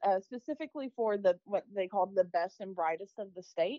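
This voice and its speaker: A woman speaks in a normal speaking voice. She has an American accent. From US South, Arkansas. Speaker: microbiologist. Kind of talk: interview testimony.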